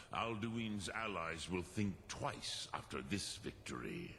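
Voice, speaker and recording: A man uses a put-on character voice at a fairly low pitch and a fairly slow pace, with clear background noise behind him. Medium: video game. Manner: slow, grave, mixes dragon words.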